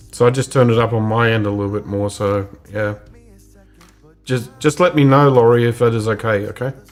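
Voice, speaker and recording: Over background music, a man with a medium pitch talks at a fairly quick pace with fairly even intonation, leaving long, frequent pauses. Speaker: photography live show host. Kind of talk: casual chat. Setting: live stream video call. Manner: loud.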